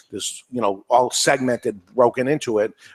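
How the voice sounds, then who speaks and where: A man with a New England accent speaks at a medium pitch with fairly even intonation, and the sound is dry and close with no echo. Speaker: podcast host. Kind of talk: panel discussion.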